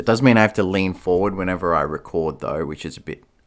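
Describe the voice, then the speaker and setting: The tone is bright and sharp. The recording is very clean with a silent background. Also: man. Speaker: vlogger. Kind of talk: casual vlog monologue. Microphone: new cheap USB microphone, some static.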